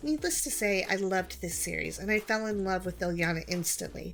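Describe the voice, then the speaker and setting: Fairly quick speech with music in the background. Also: woman. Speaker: YouTuber reviewing comics. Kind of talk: personal vlog monologue. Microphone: new microphone.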